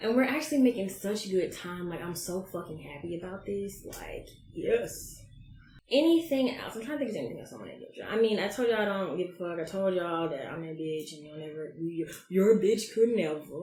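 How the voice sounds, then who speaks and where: Noticeable background noise and audible room echo surround a woman of medium pitch with an American accent who talks fairly quickly, with lively intonation and big swings in loudness. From US South, Georgia (Albany, then Atlanta). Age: 30s. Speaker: podcast host. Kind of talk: casual monologue. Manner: animated.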